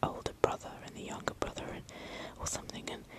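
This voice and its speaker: Whispering over noticeable background noise. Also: woman. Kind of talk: casual rambling talk to camera, ASMR whisper video. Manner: whispered, soft, relaxing.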